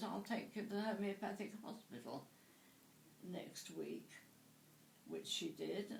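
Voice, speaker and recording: A woman speaks at a fairly slow pace in a southern English accent. Audible room echo and noticeable background noise surround her voice. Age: 80s+. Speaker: interviewee. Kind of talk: interview. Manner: halting.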